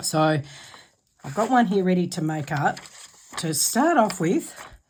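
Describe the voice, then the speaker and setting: Woman's voice with ordinary pitch variation, very clean recording, silent background. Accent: Australian. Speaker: craft channel host. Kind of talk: tutorial.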